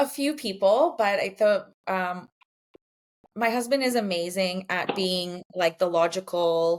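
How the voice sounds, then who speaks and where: A woman with an unremarkable speaking voice speaks at a fairly slow pace, at a medium pitch with ordinary pitch variation. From Poland, moved to Canada as a small child. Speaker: brand designer and painter, entrepreneur. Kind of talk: podcast interview. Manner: casual, many fillers.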